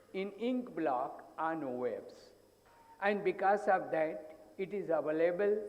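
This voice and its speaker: Amid audible room echo, a high-pitched man speaks at a very slow pace with ordinary pitch variation. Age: 80s+. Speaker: psychologist. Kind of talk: conference talk.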